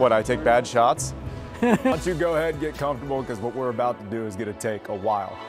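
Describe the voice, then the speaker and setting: Music plays in the background as a man speaks at a very fast pace with hardly any pauses. His pitch is medium, with ordinary variation. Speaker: sports anchor and reporter. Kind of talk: sports talk and studio anchoring.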